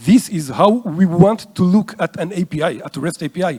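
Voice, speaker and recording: A man speaks in a high pitch with a dark, mellow tone. His intonation is lively and his pace moderate. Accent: Israeli. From Israel. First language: Hebrew. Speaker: conference speaker. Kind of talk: lecture. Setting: stage with audience.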